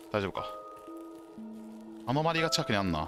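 A man with a fairly low voice talks at a very fast pace, his pitch swinging very widely. Music plays in the background. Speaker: Arma 3 squad commander streamer. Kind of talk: gameplay commentary with squad callouts. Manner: commanding, brisk orders.

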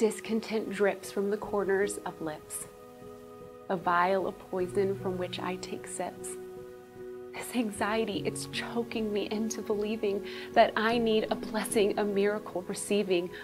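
Clear music plays in the background as a woman speaks at a fairly slow pace. Her pitch is medium, with ordinary variation. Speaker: church member. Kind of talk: spoken word poetry. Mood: emotional, near tears, pleading. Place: studio.

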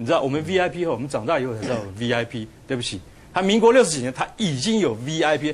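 Very wide pitch swings mark a man who speaks at a very fast pace. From Taiwan. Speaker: journalist. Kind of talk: TV talk show panel. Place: studio. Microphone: lapel.

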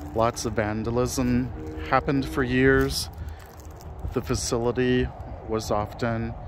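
Amid noticeable background noise, a man talks at a very slow pace, the sound dry with no echo. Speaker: cemetery ghost-hunting vlogger. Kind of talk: narrated walk-through commentary. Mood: solemn, slow and measured. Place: open country. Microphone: phone near.

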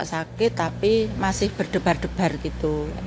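Light background noise runs through the clip. Over it, a woman talks. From Javanese community. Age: 60s. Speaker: cracker maker and customer; interviewee. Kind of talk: testimony. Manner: informal. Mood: grateful, relieved. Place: home room. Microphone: handheld.

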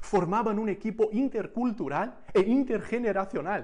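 A man talks at a fairly slow pace in a high pitch. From Brazil. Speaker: missions speaker. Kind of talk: sermon. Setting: recorded message for a conference.

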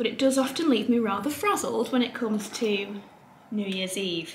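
A woman at a fairly quick pace with fairly even intonation, audible room echo, and light background noise. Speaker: beauty vlogger. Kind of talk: casual vlog chat. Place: home room. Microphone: camera far.

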